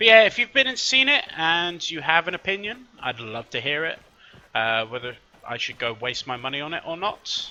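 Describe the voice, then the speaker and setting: A high-pitched man with a bright, sharp tone, very wide pitch swings, and a moderate pace. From Scotland. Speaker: gaming youtuber. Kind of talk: gameplay commentary. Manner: casual, hesitant with fillers.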